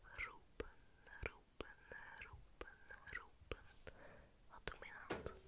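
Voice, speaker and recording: Speaking very slowly, this woman keeps her voice to a whisper. Each word comes out unhurried. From Antwerp, Belgium. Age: 20s. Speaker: ASMR creator. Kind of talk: ASMR trigger words. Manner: whispered. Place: home room. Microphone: studio mic.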